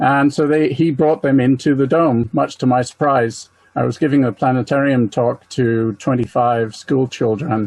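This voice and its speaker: A man with an American accent speaks at a medium pitch and moderate pace, with hardly any pauses, fairly even intonation and very even loudness. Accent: mid-Atlantic, English with American lilt. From England. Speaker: planetarium presenter and amateur astronomer. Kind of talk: talk with slides. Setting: webinar.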